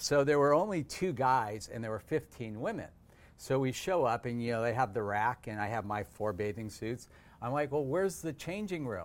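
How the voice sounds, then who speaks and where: A man talks in an ordinary speaking voice at a medium pitch and moderate pace. His intonation is lively, and the recording is very clean with a silent background. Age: 60s. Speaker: dentist and podcast host. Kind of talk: interview, casual chat.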